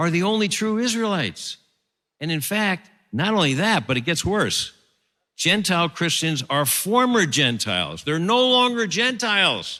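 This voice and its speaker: In a raised, projected voice with a bright, sharp tone, a man with an American accent speaks at a moderate pace and a high pitch, swinging very widely in pitch on a very clean recording with a silent background. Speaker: theologian. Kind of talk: lecture.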